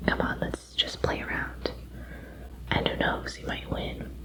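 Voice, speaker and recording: The voice is a whisper. Noticeable background noise can be heard. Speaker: ASMR creator. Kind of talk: ASMR roleplay. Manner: whispered, soft-spoken.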